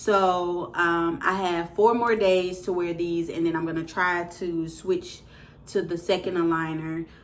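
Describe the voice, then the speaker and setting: Fairly low female voice, fairly slow and monotone with flat intonation, in audible room echo. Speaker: vlogger. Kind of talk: casual product review. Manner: hesitant with fillers.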